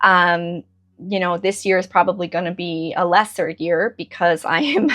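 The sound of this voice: Her voice has a fairly bright tone. The woman speaks at a fairly low pitch with ordinary pitch variation.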